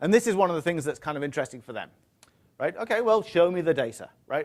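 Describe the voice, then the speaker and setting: The speaker talks at a very fast pace. The accent is British. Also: man. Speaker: tech industry presenter. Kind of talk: conference talk. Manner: hesitant, many fillers.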